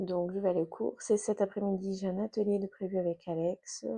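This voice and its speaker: A woman's dark, mellow tone at a moderate pace. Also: dry, close sound with no echo. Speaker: lifestyle vlogger and school support assistant. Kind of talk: casual vlog talk to camera. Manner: soft-spoken, keeping voice low.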